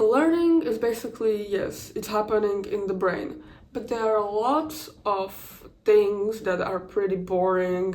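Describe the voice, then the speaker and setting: This fairly slow speaker with a non-native accent uses ordinary pitch variation and hardly any pauses. The recording has audible room echo and noticeable background noise. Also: woman, fairly high pitch for a woman. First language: not English. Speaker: content creator. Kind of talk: casual vlog commentary. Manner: halting, many restarts and fillers.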